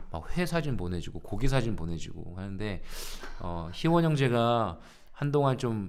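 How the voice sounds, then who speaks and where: A man speaks with very wide pitch swings. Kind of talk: casual live-stream chat. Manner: casual, joking.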